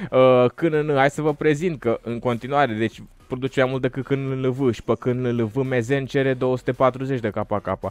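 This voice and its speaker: A man's medium-pitched voice at a moderate pace, dry with no echo. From Romania. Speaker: gaming YouTuber. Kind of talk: gameplay commentary. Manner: animated. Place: home room. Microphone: studio mic.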